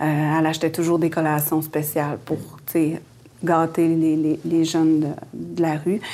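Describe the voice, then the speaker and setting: Speaking at a fairly slow pace, a woman with a very deep, low pitch and a dark, mellow tone keeps a monotone, flat intonation at very even loudness, in a very clean recording with a silent background. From Quebec, Innu community at Lac-Saint-Jean. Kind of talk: interview, personal life story. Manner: hesitant, many fillers and repetitions.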